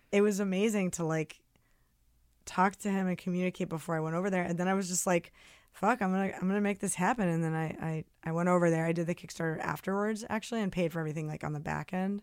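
In an American accent, a woman with a medium-pitched voice talks very fast with fairly even intonation, on a very clean recording with a silent background. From New Jersey, near New York City. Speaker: singer-songwriter and former actor. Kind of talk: casual interview chat.

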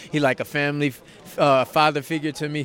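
A man speaks at a moderate pace. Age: young. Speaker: boxer. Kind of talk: press interview. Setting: arena press event.

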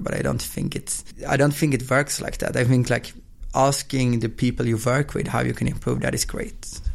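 A man with a Swedish accent at a fairly quick pace. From Sweden. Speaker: football app company founder. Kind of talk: interview. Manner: fast.

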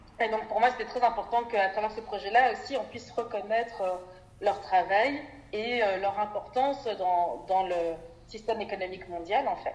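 Noticeable background noise behind a woman at a moderate pace, her pitch fairly high, with ordinary pitch variation. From Belgium, Brussels. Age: 20s. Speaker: NGO development worker. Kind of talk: interview.

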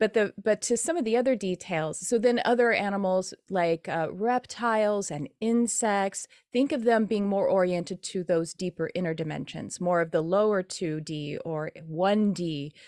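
A woman with a normal speaking voice and medium pitch talks at a moderate pace with hardly any pauses and ordinary pitch variation, on a very clean recording with a silent background. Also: dry, close sound with no echo. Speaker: spiritual teacher and animal medium. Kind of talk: interview. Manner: casual, conversational.

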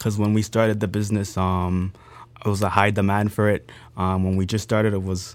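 A man with an unremarkable speaking voice and a fairly low pitch talks at a fairly quick pace with fairly even intonation. The recording is very clean, with a silent background. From Grenada, raised in Canada. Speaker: entrepreneur. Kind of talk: interview.

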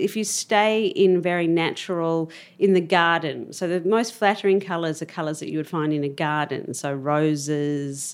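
Speaking at a moderate pace with hardly any pauses, a woman uses a fairly low voice with ordinary pitch variation. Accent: Australian. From Australia, Melbourne. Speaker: cosmetics entrepreneur. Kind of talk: interview.

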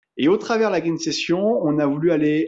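A man is speaking. His pace is fairly slow. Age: 30s. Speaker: eco-product entrepreneur. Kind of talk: interview. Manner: hesitant, many fillers.

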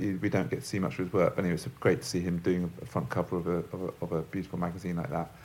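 A man talks in a very deep, low voice with a London accent. Music plays behind him. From London, England. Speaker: magazine designer and shop owner. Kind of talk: interview. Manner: halting.

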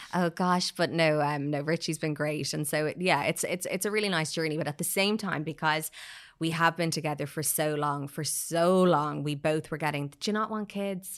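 A woman with an Irish accent, very deep and low in pitch, fairly even in intonation, at a moderate pace, on a very clean recording with a silent background. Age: 30s. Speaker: PR agency founder. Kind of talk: casual chat. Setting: studio.

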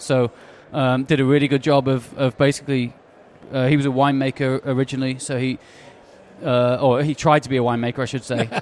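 Speaking at a very fast pace, a man keeps a medium pitch in a monotone, flat intonation. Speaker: brewery co-owner. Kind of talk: casual interview.

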